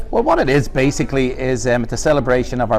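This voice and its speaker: A man with an Irish accent, very fast pace, ordinary pitch variation. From Ireland, Dublin. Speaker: pub owner. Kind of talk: casual interview.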